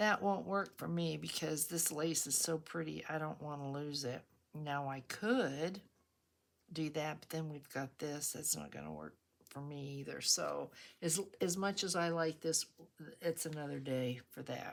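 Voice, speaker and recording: A woman's very deep, low voice with big swings in loudness, ordinary pitch variation and a fairly slow pace. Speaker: craft YouTuber. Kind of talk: craft tutorial with casual chat. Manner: chatty, conversational.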